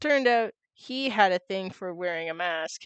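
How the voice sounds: Over a quiet background, the intonation is lively in this natural reading voice.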